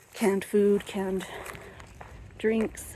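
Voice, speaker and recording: Over noticeable noise in the background, the talking proceeds very slowly. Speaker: vlogger. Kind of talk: casual walking vlog narration. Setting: outdoors by a river. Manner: moderately loud but restrained; hesitant, filler-heavy.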